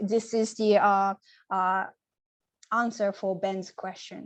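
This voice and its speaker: A woman speaks very slowly in a fairly high voice with a Japanese accent against a quiet background. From Japan, Nagoya. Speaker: poet. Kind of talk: Q&A answers. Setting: video call. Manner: halting.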